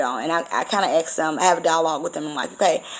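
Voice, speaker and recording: With noticeable background noise, a woman talks very fast in a fairly low voice with fairly even intonation. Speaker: spiritual vlogger and medium. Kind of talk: casual vlog monologue.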